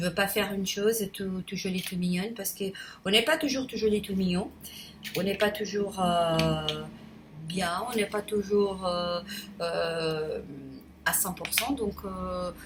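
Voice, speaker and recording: A woman at medium pitch with ordinary pitch variation, speaking at a very slow pace with long, frequent pauses over noticeable background noise. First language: Portuguese (speaking French). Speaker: YouTuber. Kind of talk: casual vlog monologue. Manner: halting, many hesitations; spontaneous, unedited.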